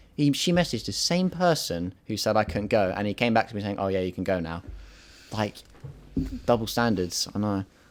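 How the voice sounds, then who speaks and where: At a fairly quick pace, a man with an English accent uses lively intonation in a fairly low voice. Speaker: podcast host. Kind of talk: casual chat.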